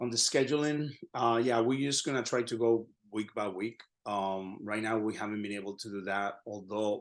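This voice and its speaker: A man with a Spanish accent talks at a moderate pace and medium pitch. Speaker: Spanish professor. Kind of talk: lecture. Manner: halting.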